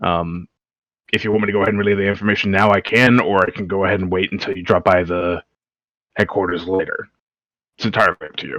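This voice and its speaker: A raspy put-on character voice in a monotone, flat intonation, very fast in pace yet broken by long, frequent pauses, in a dry, close sound with no echo and a quiet background. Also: man, fairly low pitch for a man. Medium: actual play. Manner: polite, courteous.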